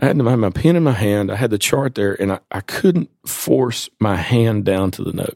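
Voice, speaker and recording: With hardly any pauses, a man at a medium pitch talks at a moderate pace with lively intonation in a dry, close sound with no echo. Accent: East Tennessee. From East Tennessee, rural Appalachia. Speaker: physician in addiction recovery. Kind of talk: interview, personal testimony.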